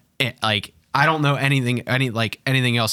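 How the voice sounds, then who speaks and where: Talking at a very fast pace, a man speaks with a Pittsburgh accent. His tone is bright and sharp. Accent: Pittsburgh (Yinzer). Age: 30s. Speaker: former sports PR staffer. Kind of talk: casual chat.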